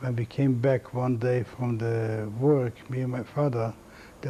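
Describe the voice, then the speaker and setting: A man's medium-pitched voice comes across monotone, with flat intonation. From Latvia, Riga. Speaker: Holocaust survivor. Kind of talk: testimony. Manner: halting.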